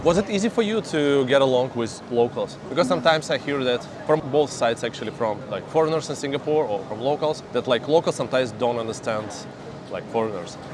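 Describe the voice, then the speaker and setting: A man speaks very fast in a fairly high voice with lively intonation over noticeable background noise. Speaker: interviewer, channel host. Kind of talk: casual interview questions.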